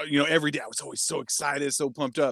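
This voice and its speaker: With an American accent, a man speaks in a dry, close sound without echo. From Stockton, California. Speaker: restaurant owner and podcast guest. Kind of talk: casual chat.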